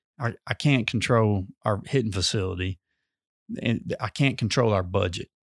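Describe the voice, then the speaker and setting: On a very clean recording with a silent background and a dry, close sound with no echo, a man with a fairly low pitch talks at a moderate pace with ordinary pitch variation. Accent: Mississippi. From US South, northeast Mississippi. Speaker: high school sports coach. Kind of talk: casual interview.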